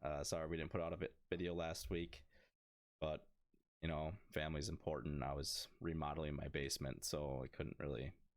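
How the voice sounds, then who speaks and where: Fairly quick and fairly even in intonation, a man speaks with a very deep, low pitch and vocal fry. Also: very even loudness. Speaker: gaming podcast co-host. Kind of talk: casual chat. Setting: podcast recording.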